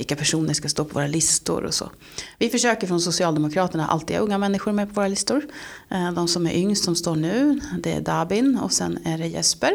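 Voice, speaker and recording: A woman with an unremarkable speaking voice talks at a fairly quick pace in a fairly low pitch. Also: lively intonation. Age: 40s. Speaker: local politician. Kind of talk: interview.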